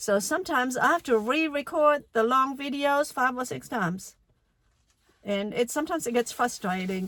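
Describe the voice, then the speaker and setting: A woman with a German accent speaks with lively intonation. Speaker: language teacher. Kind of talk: casual talk to camera.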